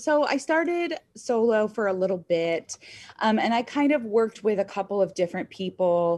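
In a quiet background, a woman with a plain, everyday voice talks at a moderate pace with lively intonation. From upstate New York, rural. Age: 20s. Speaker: real estate agent. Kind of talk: casual interview.

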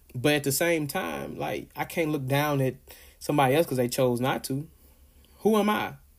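A man with an American accent speaks at a moderate pace in an animated tone, his fairly high pitch varying in an ordinary way. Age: 30s. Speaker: podcast host, small business owner. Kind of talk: solo casual monologue.

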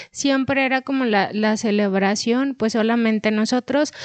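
Fairly slow speech with ordinary pitch variation, a dry, close sound with no echo and a quiet background. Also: woman. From Chihuahua, northern Mexico. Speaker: podcast co-host. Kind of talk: casual chat.

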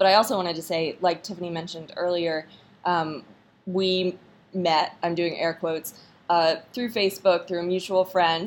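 With an American accent, a woman speaks in an unremarkable speaking voice, fairly low in pitch, at a moderate pace with fairly even intonation. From North Carolina. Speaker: podcast host, army spouse. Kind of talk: interview.

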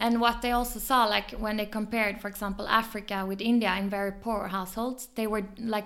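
In a Swedish accent, the speaker talks at a fairly quick pace with monotone, flat intonation. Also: woman. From southern Sweden, Malmö. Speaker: photographer and filmmaker. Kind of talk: interview.

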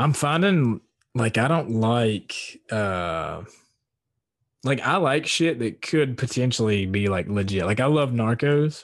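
Over a quiet background, a man with an American accent speaks in a plain, everyday voice at medium pitch, his loudness very even throughout. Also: lively intonation. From Southwest Virginia. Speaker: podcast host. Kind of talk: casual chat. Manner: casual, profane.

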